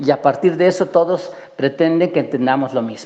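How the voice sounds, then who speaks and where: Amid noticeable background noise, a man with a Mexican accent speaks at a high pitch with lively intonation. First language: Nahuatl (speaking Spanish). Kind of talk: panel talk. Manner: halting, many repetitions.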